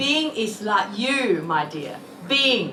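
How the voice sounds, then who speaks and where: Amid noticeable background noise and audible room echo, a woman uses a raised, projected voice at a very slow pace. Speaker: politician. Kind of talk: speech. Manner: loud.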